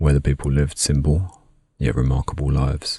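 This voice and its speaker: Soft-spoken and in a British accent, a man talks with a very deep, low pitch and a monotone, flat intonation. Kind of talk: ASMR sleep narration.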